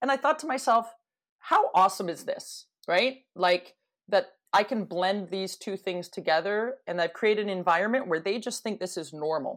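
With a Canadian accent, a woman speaks in a plain, everyday voice at a medium pitch, a moderate pace, and lively intonation. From Canada (Toronto). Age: 40s. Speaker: hockey coach. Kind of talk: casual interview.

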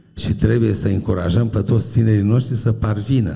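Somewhat breathy, a man with a fairly low pitch and a dark, mellow tone talks at a moderate pace amid audible room echo. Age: 70s. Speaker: university professor. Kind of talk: public talk. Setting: stage with audience.

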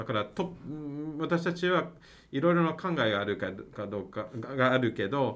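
In an English accent, a man of medium pitch talks at a moderate pace, his pitch swinging very widely. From Canada, Mississauga near Toronto. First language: English (speaking Japanese). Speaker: university professor, international PR head. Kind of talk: interview. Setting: university building.

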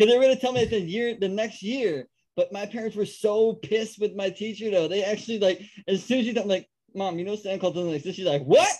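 A man's high-pitched voice at a very fast pace. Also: ordinary pitch variation, big swings in loudness. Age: 30s. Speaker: podcast host and comedian. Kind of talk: casual chat.

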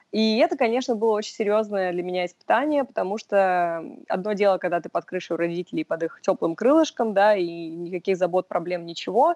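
In a very clean recording with a silent background and a dry, close sound with no echo, a woman with a normal speaking voice talks at a fairly quick pace, her medium pitch carried by lively intonation. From Russia (Sevastopol, Moscow). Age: 20s. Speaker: boutique sales worker. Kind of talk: interview.

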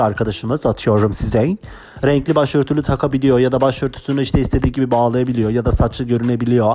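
Speech comes at a very fast pace with fairly even intonation. Noticeable background noise is present. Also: man. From Turkey (Kurdish). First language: Kurdish (speaking Turkish). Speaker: podcaster, former imam. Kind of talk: casual monologue. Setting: home recording. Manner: fast, words run together.

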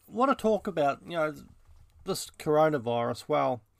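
A man talks in a New Zealand accent. The background is silent, and the recording very clean. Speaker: podcaster. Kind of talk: casual monologue. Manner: halting, many fillers.

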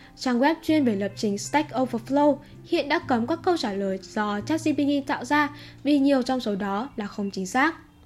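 High-pitched woman's voice with lively intonation at a fairly slow pace. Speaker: tech news podcast host. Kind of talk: news reading. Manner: formal.

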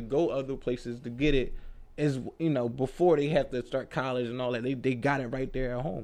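An unremarkable speaking voice with an American accent moves at a fairly quick pace. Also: man. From Philadelphia, North Philly. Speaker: drywall contractor. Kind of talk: casual interview.

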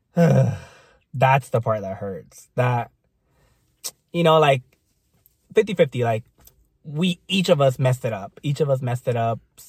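A man with a somewhat breathy, medium-pitched voice talks fairly slowly with lively intonation. Long, frequent pauses break up his speech, and the sound is dry and close with no echo. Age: 30s. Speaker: podcast co-host. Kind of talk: casual chat.

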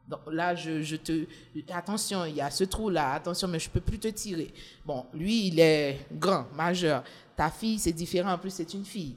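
A woman uses a normal speaking voice at a fairly low pitch, a fairly slow pace and ordinary pitch variation. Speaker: journalist, single mother. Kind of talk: casual chat.

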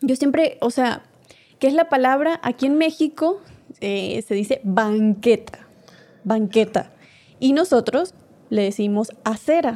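Speaking very slowly, a woman with a high pitch uses lively intonation and long, frequent pauses. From Venezuela. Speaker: podcast co-host. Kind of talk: casual chat.

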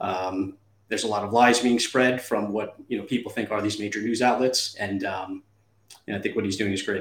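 A man's unremarkable speaking voice, fairly low in pitch, with fairly even intonation and a fairly quick pace. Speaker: company founder, product seller. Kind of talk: casual chat, sales pitch. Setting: live stream.

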